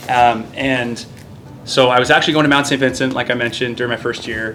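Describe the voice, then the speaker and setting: A man at a very fast pace with a Maritime Canadian accent, audible room echo and music in the background. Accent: Canadian (Maritimes) English. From Nova Scotia, Canada. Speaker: naval officer and military basketball player. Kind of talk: casual interview chat. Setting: gym, stretching after workout.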